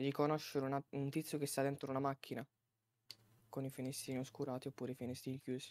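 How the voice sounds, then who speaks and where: The talking goes at a very fast pace yet has long, frequent pauses. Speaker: roleplay server applicant. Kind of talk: whitelist interview.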